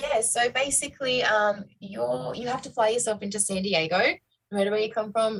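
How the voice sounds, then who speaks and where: At a moderate pace, a woman with an Australian accent speaks in a fairly high voice with ordinary pitch variation. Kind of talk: interview answer.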